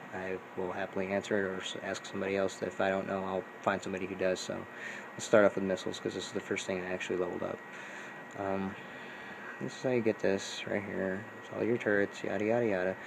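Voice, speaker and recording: Through noticeable background noise, a man talks very fast in a very deep, low pitch with monotone, flat intonation. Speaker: gaming YouTuber. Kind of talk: tutorial. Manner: casual, filler-heavy.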